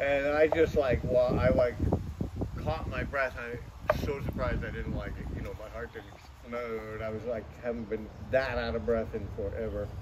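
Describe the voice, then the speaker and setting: A man's voice comes through loud background noise at a moderate speed. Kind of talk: interview answer. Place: street. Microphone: camera far.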